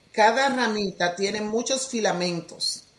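A woman talks very slowly, her voice at a medium pitch. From Dominican Republic. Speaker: teacher and healing coach. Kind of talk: podcast interview.

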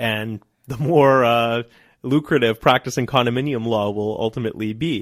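A plain, everyday voice from a man, medium in pitch, with fairly even intonation at a moderate pace. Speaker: real estate lawyer. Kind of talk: interview answers. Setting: radio studio.

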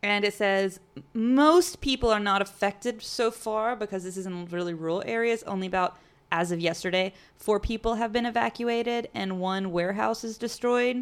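In a very clean recording with a silent background, a woman uses a normal speaking voice at medium pitch, moving at a moderate pace with ordinary pitch variation. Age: 30s. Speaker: podcast host. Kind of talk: casual chat.

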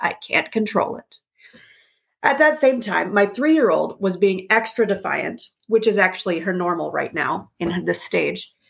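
A woman's voice of medium pitch, a plain, everyday voice, with lively intonation at a moderate pace. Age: 40s. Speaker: parenting podcast host. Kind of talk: personal monologue. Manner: conversational.

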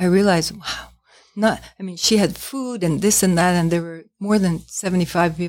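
An unremarkable speaking voice at a moderate pace, fairly even in intonation, on a very clean recording with a silent background. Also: woman, medium pitch for a woman. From New York. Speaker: tea shop owner. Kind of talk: interview.

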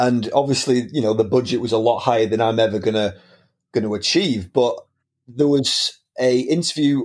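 A man in a Lancashire accent, medium in pitch, at a moderate pace with fairly even intonation, on a very clean recording with a silent background. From northern England, Preston, Lancashire. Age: 30s. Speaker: film teacher and aspiring filmmaker. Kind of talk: casual interview chat.

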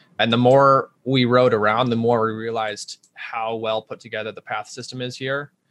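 The speaker has a US Midwestern accent. Intonation stays fairly even. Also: man. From Omaha, Nebraska. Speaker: bike shop owner. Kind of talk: interview.

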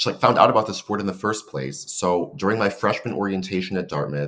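The voice has an American accent. Its intonation is lively. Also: man. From San Francisco, California. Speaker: coxswain, podcast guest. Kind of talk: casual interview.

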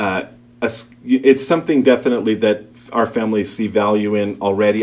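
A man with an American accent speaks in a normal speaking voice. His pace is moderate. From Brooklyn, New York. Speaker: school principal. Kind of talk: interview.

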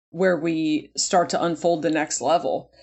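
Her pitch varying in an ordinary way, a woman with an unremarkable speaking voice talks at a fairly slow pace. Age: 40s. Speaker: comedian. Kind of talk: casual chat.

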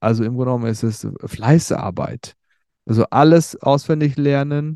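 Over a quiet background, a man with a Turkish accent speaks fairly slowly in a dark, mellow tone with fairly even intonation. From Germany, Sauerland region (Werdohl/Lüdenscheid). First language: Turkish (speaking German). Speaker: podcaster telling his life story. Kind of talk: personal storytelling monologue. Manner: hesitant, many fillers and repetitions.

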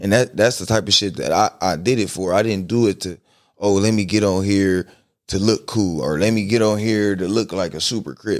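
A fairly low-pitched man's voice at a moderate pace, with ordinary pitch variation, in a very clean recording with a silent background. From Compton, Los Angeles, California. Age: 20s. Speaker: rapper. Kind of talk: casual chat. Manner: laughs often.

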